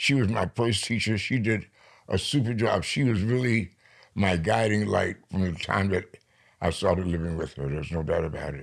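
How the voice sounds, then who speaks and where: Over a very clean recording with a silent background, a man with an American accent uses a plain, everyday voice, fairly low in pitch, with lively intonation at a moderate pace. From New York. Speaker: poet. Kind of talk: interview.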